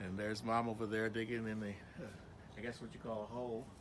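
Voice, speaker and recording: A bright, sharp tone with audible room echo. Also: man. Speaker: family member. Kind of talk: casual chat. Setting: outdoors.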